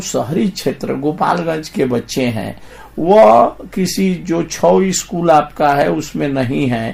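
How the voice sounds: Speaking at a slow pace with few pauses, a man uses lively intonation, a slightly mellow tone and some vocal fry.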